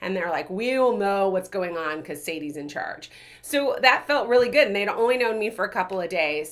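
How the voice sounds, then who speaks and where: Her intonation lively, a woman talks at a fairly quick pace with a medium pitch. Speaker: leadership coach. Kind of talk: casual chat. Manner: loud.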